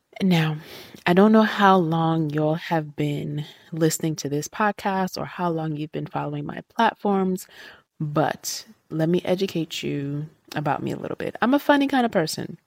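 An animated tone comes with ordinary pitch variation at a moderate pace. The recording is very clean with a silent background. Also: woman, fairly low pitch for a woman. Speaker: podcast host. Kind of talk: solo rant, casual podcast monologue. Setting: solo podcast recording. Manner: animated, venting, conversational.

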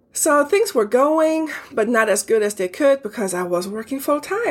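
A woman at a moderate pace, her pitch swinging very widely, with noticeable background noise. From Germany. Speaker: podcast host, customs broker. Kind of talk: casual solo monologue.

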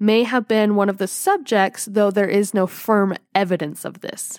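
A woman talks in an ordinary speaking voice at a medium pitch. The recording is very clean, with a silent background. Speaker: podcast host. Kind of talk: casual chat.

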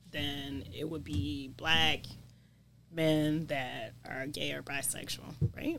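Very slow and very deep, a woman's low-pitched voice shows vocal fry and ordinary pitch variation. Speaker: nurse practitioner, HIV prevention. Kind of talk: casual interview.

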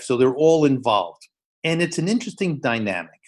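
A man with a New York accent speaks with ordinary pitch variation against a quiet background. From New York City, the Bronx. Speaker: education professor. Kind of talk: casual interview. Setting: video call. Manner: animated.

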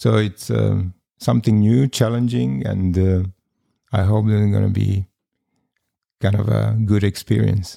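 This man's fairly low voice has a dark, mellow tone, very even loudness and ordinary pitch variation, moving at a fairly slow pace with long, frequent pauses. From Serbia. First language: Serbian. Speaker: formerly homeless interviewee. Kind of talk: interview. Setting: studio. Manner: halting.

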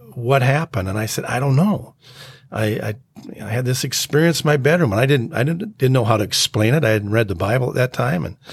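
A man with an American accent, somewhat breathy and medium-pitched, at a fairly quick pace with ordinary pitch variation. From Minnesota. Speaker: pastor. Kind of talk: testimony. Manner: halting.

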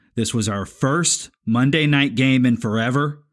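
A man speaks very slowly at a medium pitch, with fairly even intonation. The recording is very clean, with a silent background. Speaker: podcast moderator. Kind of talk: podcast intro and recap.

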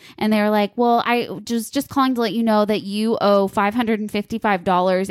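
A woman talks in a normal speaking voice at a medium pitch, her intonation fairly even. The recording is very clean, with a silent background. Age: 30s. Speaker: podcast co-host and online boutique owner. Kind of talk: casual chat.

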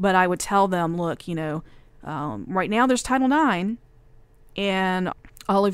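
A woman speaking at a fairly slow pace with lively intonation, on a very clean recording against a silent background. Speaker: radio consultant. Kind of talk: interview. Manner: hesitant with fillers.

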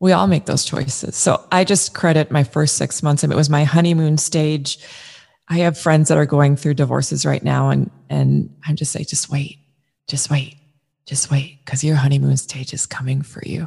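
A woman speaks with a very deep, low pitch and a dark, mellow tone. Her somewhat breathy voice moves at a moderate pace with ordinary pitch variation. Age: 40s. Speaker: freelance photographer, divorce guest. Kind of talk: casual interview about divorce. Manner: animated.

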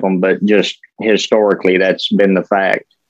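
The voice carries a rural Southern US accent and moves at a moderate pace. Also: man. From West Tennessee, Dyer County. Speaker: podcast co-host. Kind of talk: casual chat.

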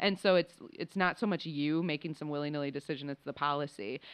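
A woman with an American accent, a very deep, low pitch and a fairly quick pace. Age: 30s. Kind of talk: interview. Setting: conference venue. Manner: fast.

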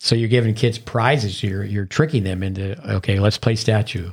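A man with an American accent speaks at a moderate pace in a fairly low, somewhat breathy voice with ordinary pitch variation. The recording is very clean, with a silent background. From northern New York, near Canadian border. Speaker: tennis coach. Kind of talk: casual chat. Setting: studio.

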